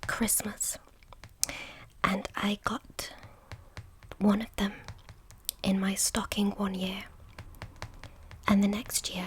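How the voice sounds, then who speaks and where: Soft-spoken speech in a British accent at a very slow pace, with noticeable background noise. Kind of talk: ASMR picture-book reading.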